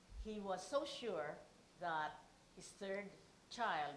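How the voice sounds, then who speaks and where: With a Filipino accent, a woman speaks at a medium pitch and a fairly slow pace. Audible room echo surrounds her voice. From Philippines. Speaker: keynote speaker. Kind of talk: speech.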